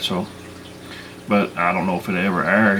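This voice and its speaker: A man with a Southern US accent, against noticeable background noise. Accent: southern drawl. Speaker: bigfoot researcher and channel host. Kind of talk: casual monologue. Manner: halting.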